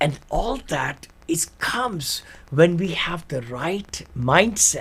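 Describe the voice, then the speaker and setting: Over noticeable background noise, a man talks very slowly in a high pitch with very wide pitch swings. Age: 70s. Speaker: author and real estate investor. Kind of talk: interview. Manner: animated.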